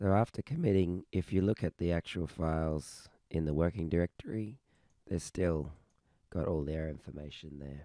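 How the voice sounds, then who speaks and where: At a moderate pace, a man with a very deep, low pitch and a dark, mellow tone speaks with ordinary pitch variation, recorded very cleanly over a silent background with a dry, close sound and no echo. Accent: Australian. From Australia. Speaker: software developer. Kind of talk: tutorial.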